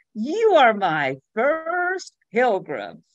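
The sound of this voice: A put-on character voice, female-sounding and fairly high, in a strong Southern US accent. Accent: deep southern American drawl.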